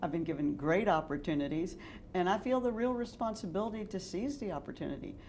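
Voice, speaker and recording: With lively intonation and a fairly quick pace, a woman speaks in a room with audible room echo. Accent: American. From Texas, Dallas. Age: 60s. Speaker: real estate developer. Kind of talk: interview.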